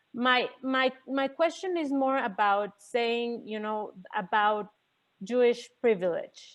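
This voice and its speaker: Speaking in a Mexican accent, a woman uses a high pitch with ordinary pitch variation at a very slow pace. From Mexico. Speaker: audience member asking a question. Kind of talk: Q&A question at an online conference session. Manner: halting, repeats words.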